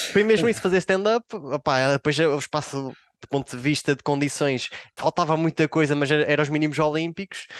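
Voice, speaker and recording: Speaking at a fairly quick pace, a man with a fairly high voice and ordinary pitch variation comes through in a dry, close sound with no echo. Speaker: comedian and psychologist. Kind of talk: casual chat. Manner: hesitant, filler-heavy.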